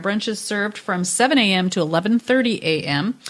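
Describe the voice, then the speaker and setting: Noticeable background noise fills the recording. Through it, a woman's voice is heard. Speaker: wine and food event organizer. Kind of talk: casual chat.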